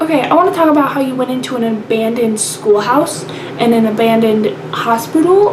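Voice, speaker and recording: A soft-spoken woman at a high pitch and fairly quick pace, with audible room echo and noticeable background noise. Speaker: video pen pal vlogger. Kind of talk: casual video letter. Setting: grandparents' basement bathroom at night.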